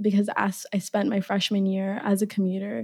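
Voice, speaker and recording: In a very clean recording with a silent background, a woman with an American accent uses a normal speaking voice at a moderate pace. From Minneapolis, Minnesota (Somali family). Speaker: former resident advisor. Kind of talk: interview.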